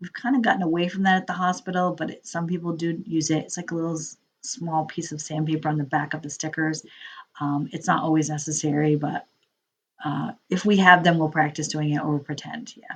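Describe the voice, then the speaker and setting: Fairly low in pitch with ordinary variation, a woman talks at a fairly quick pace. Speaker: instructor. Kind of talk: recorded lecture. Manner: fast; casual, filler-heavy.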